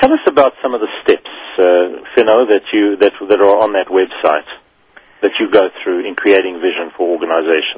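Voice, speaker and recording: A man talks at a fairly quick pace in an unremarkable speaking voice. His pitch is fairly low, with ordinary variation. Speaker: business radio host. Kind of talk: radio interview. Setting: studio.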